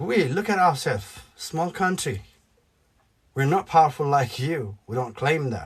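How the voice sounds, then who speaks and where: A man talks at a fairly slow pace in a fairly high, somewhat breathy voice. His intonation is lively. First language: Nepali. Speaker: YouTuber, political commentator. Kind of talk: opinion vlog rant. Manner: animated.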